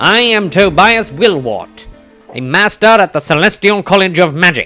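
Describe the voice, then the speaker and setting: A man puts on a character voice pitched high for a man, with faint music in the background. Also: moderate pace. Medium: read story. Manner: curt, lecturing, condescending.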